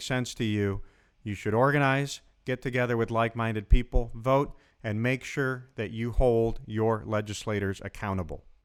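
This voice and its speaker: An ordinary speaking voice moves at a moderate pace with ordinary pitch variation in a very clean recording with a silent background. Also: man. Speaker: lawyer, podcast host. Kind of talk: podcast intro.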